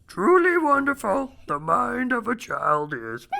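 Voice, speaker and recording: Someone puts on a character voice, fairly high in pitch and delivered at a fairly slow pace. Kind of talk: inverted syntax.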